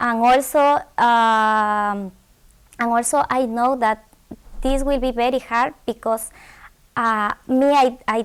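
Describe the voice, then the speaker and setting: With a Spanish accent, a woman talks very slowly at a fairly high pitch and with fairly even intonation. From Ecuador, Quito. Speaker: graduate student. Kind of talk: interview. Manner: halting, many repetitions.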